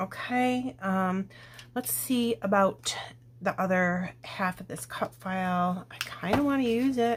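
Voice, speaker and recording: A woman whispering at a very slow pace, somewhat breathy. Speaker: scrapbooking crafter. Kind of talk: crafting tutorial. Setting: at home. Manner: casual, thinking aloud.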